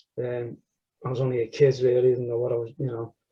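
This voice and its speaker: A man's dark, mellow, somewhat breathy voice with a Liverpool accent. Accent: Scouse. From northern England, Liverpool (Everton). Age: 60s. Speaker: church member interviewee. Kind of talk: testimony interview. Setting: recorded interview.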